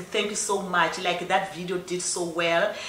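A woman with a South African accent, a fairly bright tone and a moderate pace, with audible room echo

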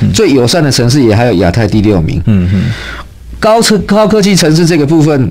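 Holding his loudness very even, a man speaks at a moderate pace with very wide pitch swings. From Taiwan. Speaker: city government adviser; radio guest or host. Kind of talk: casual chat. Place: studio. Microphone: studio mic.

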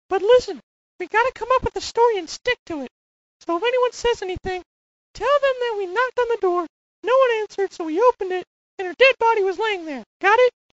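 This woman uses a cartoonish character voice, squeaky and extremely high in pitch. She talks at a very fast pace. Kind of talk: scripted cartoon dialogue. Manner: cocky, conniving, bossy. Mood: conspiratorial, scheming.

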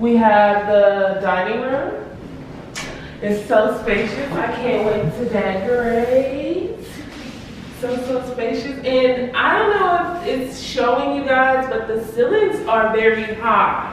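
A woman's high voice at a very slow pace, with strong room echo and light background noise. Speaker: homeowner vlogger. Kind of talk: casual vlog house tour. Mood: excited, happy. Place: home room.

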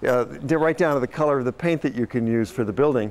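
A man speaks with lively intonation. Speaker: tour guide. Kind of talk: walking tour commentary. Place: street.

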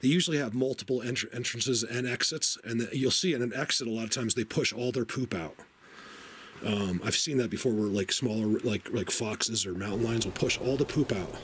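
A fairly quick pace with ordinary pitch variation, over light background noise. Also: man. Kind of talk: casual vlog commentary. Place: tunnel cave. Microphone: phone near.

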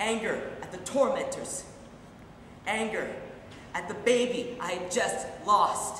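Amid light background noise and audible room echo, a man with an extremely high pitch talks at a very slow pace, his loudness swinging widely and his pitch varying in an ordinary way. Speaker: actor performing a monologue. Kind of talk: dramatic monologue. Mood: grief and anger. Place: stage. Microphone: camera far.

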